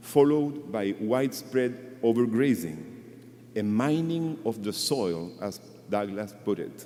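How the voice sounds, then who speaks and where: At a fairly slow pace, a man with a non-native accent talks in a dark, mellow tone at a medium pitch, with lively intonation. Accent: non-native English speaker. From Chile. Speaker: conservationist speaker at a memorial. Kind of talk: memorial tribute speech.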